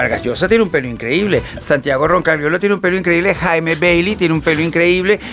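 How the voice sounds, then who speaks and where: Over music in the background, a man with a high pitch talks at a fairly quick pace with hardly any pauses and very even loudness. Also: ordinary pitch variation. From Venezuela. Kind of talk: casual chat.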